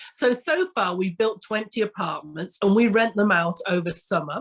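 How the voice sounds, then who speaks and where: A woman speaks in an English accent with an enthusiastic tone. Her voice is somewhat breathy. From England. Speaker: retreat village founder. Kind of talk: podcast interview.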